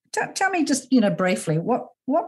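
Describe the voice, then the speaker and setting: A woman's dark, mellow voice at a fairly quick pace, with very wide pitch swings. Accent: Australian. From Australia, New South Wales. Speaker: podcast host. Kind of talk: interview conversation.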